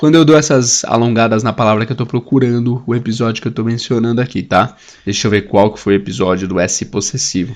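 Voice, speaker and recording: A man puts on a hoarse character voice at a medium pitch and races along at a very fast pace. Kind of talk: teacher explaining English lessons.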